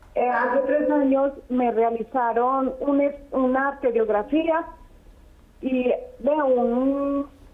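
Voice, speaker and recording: Noticeable background noise is present throughout. The delivery is very slow, and the intonation stays fairly even. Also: woman. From Colombia, Risaralda. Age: 70s. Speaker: caller. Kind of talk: phone-in question. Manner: halting.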